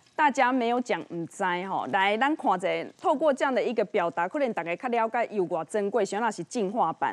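A woman talks at a fairly quick pace with a fairly high pitch and lively intonation. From Taiwan. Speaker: TV show host. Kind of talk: TV cooking and health show hosting. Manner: animated. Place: studio. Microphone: lapel.

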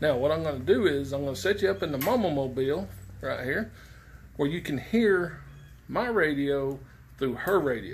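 A man talks at a moderate pace with vocal fry. His pitch swings very widely. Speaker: CB radio hobbyist. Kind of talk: casual tutorial vlog. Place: garage. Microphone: phone near.

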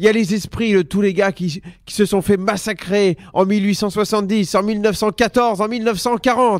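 A man speaks at a very slow pace and a high pitch. The recording is very clean, with a silent background. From Sedan, Ardennes, north-eastern France. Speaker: comedian. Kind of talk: stand-up.

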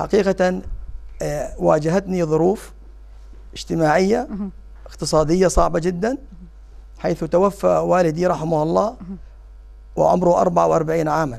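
Long, frequent pauses break up the fairly slow speech over a quiet background. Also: man. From Jordan, Amman; Jordan. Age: 50s. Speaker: parliamentary candidate; candidate. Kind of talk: interview. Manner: halting; formal. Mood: calm, earnest. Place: studio. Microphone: lapel.

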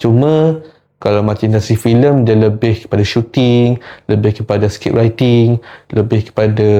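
With a dark, mellow tone and a medium pitch, the man talks at a moderate pace. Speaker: film diploma student. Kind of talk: spoken presentation. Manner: hesitant, many fillers.

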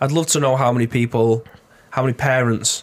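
The speaker has a British accent and uses monotone, flat intonation. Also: man. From UK. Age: 30s. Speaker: gaming podcast co-host. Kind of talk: casual chat. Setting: studio. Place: studio. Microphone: studio mic.

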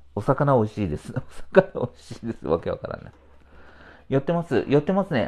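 Against a quiet background, a man with a fairly high voice and vocal fry talks at a fairly quick pace, his pitch swinging very widely and his loudness shifting a lot, with long, frequent pauses. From Kumamoto, Japan (Hitoyoshi); Kumamoto. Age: 40s. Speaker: supermarket IT manager and livestreamer; livestreamer. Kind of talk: casual livestream chat. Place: home room. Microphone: lapel.

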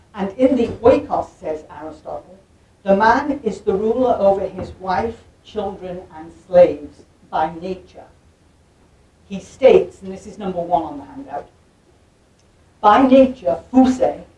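A woman at a fairly slow pace, with long, frequent pauses, big swings in loudness and audible room echo. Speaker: visiting lecturer. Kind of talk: lecture. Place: hall.

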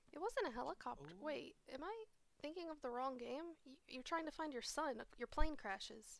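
With lively intonation and a high pitch, a woman speaks at a moderate pace in a dry sound with no echo. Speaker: live streamer hosting a game night. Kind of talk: casual chat while gaming. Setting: online voice chat, at home with webcam. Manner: laughs often, cheerful. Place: home room. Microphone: headset.

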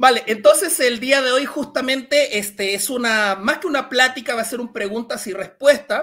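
A man with an extremely high pitch and a bright, sharp tone speaks in a raised, projected voice at a moderate pace with hardly any pauses against a quiet background. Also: ordinary pitch variation. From Chile. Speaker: science communicator. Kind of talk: Q&A talk; lecture.

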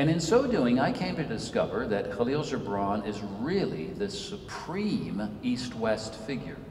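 In an American accent, a man talks fairly slowly with very wide pitch swings and hardly any pauses, with audible room echo and light background noise. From Senegal, West Africa (American family). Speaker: author and Episcopal priest. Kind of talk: lecture. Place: church.

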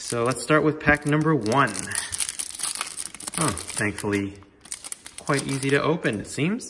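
With noticeable background noise behind him, a man with a fairly high pitch talks very slowly, his pitch varying in an ordinary way. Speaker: hockey card YouTuber. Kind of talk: card break commentary. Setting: new home, unfurnished room. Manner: casual. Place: home room. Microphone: room echo; phone near.

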